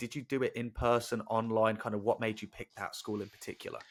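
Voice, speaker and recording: This man talks at a fairly quick pace in an English accent. The recording is very clean, with a silent background. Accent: English, non-regional. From England, Northampton. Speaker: podcast host. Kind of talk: interview.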